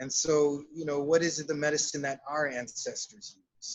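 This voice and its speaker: A man with an American accent and a fairly high pitch talks at a moderate pace in a normal speaking voice. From South Texas, Laredo. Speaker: shamanic counselor and psychotherapist. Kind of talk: interview.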